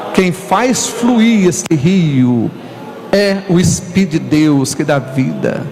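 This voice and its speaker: Noticeable background noise and audible room echo surround a man whose high-pitched voice moves with lively intonation. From northern Brazil, Tocantins river region (Imperatriz, Maranhão). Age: 60s. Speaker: pastor. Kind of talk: sermon.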